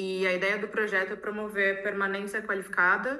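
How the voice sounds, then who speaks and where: A woman's bright, sharp tone sits at a medium pitch. Her intonation is monotone and flat, with audible room echo. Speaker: architect. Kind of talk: conference presentation. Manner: fast; halting, self-correcting.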